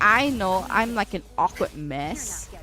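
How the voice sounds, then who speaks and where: A woman's voice over background music. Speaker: game streamer. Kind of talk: casual chat. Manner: stuttering when tired.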